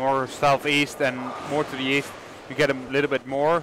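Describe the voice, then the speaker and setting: With a Dutch accent, a man speaks in a monotone, flat delivery over noticeable background noise. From Netherlands. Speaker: bowling co-commentator. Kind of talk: casual chat.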